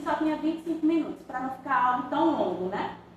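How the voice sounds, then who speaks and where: A woman speaks at a high pitch and moderate pace, with ordinary pitch variation. Audible room echo and noticeable background noise are present. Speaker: undergraduate student presenting thesis. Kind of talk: thesis defense presentation. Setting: academic defense before examiners.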